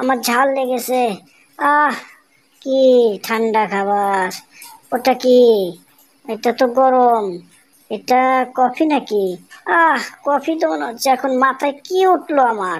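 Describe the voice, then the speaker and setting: A female-sounding voice puts on a character voice pitched high for a woman. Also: fairly slow pace. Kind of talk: comic overacting. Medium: fan dub. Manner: exaggerated, exclamatory.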